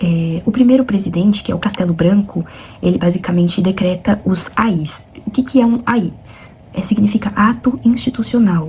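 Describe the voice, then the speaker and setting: Against noticeable background noise, a soft-spoken woman talks at a moderate pace with ordinary pitch variation. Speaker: student vlogger. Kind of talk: study vlog explanation. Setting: at home at night. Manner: soft-spoken, talking quietly.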